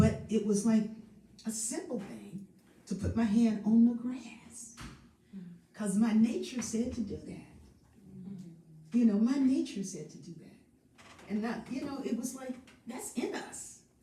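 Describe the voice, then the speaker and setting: A woman at a very slow pace and fairly high pitch, with ordinary pitch variation, big swings in loudness, audible room echo and noticeable background noise. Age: 70s. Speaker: singer and spiritual host of a live stream. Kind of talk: casual chat. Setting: live stream.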